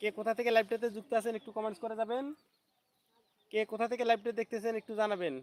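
With a dry, close sound and no echo, a high-pitched man speaks with fairly even intonation and big swings in loudness. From Bangladesh, Rangpur. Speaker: YouTuber. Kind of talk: live stream chat. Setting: outdoors, garden. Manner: repetitive.

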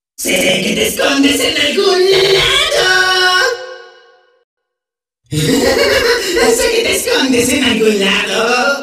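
A man uses a put-on character voice. He talks at a very slow pace with strong echo. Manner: playful, excitable, glitchy stutter.

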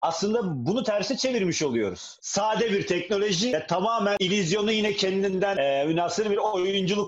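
This is a man talking. His pitch is high. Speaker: theatre maker in panel. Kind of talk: panel discussion talk. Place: home room. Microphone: video call.

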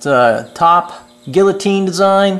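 Here a man talks with fairly even intonation. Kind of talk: tutorial walkthrough. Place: workshop. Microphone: phone near.

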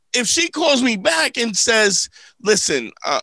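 A man's raised, projected voice, high in pitch with a bright, sharp tone, animated and with lively intonation, at a fairly slow pace, dry with no echo, against a quiet background. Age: 50s. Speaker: comedian and relationship advice podcast host; comedian, relationship advice podcast host. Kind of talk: casual comedic podcast chat. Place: studio. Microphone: studio mic.

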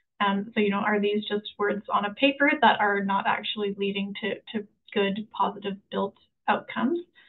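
The woman's pace is moderate. Her pitch shows ordinary variation. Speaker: housing specialist; panelist. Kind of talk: webinar presentation. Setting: video call. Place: home room. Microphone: earbuds.

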